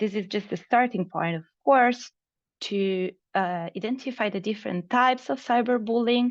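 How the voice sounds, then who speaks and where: A normal speaking voice moves at a moderate pace with ordinary pitch variation over a quiet background. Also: woman. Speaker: project presenter. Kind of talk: online meeting presentation.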